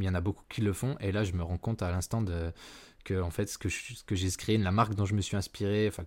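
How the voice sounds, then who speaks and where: A man with a very deep, low voice speaks at a fairly quick pace and in a fairly even intonation, on a very clean recording with a silent background. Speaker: podcast host and ad agency founder. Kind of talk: solo podcast tutorial. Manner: unscripted, with hesitations and stumbling.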